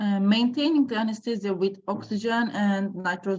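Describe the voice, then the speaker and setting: Somewhat breathy and medium in pitch, a woman speaks at a fairly slow pace with ordinary pitch variation. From Turkey. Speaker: anesthesiologist. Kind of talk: lecture. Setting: video call. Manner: halting.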